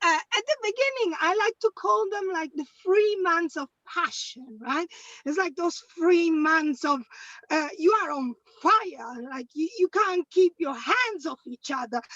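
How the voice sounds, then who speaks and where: Speaking at a fairly slow pace in an Italian accent, a woman uses an extremely high pitch with very wide pitch swings, the sound dry and close with no echo. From Italy. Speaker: stand-up comedian. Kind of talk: stand-up. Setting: video call from a car.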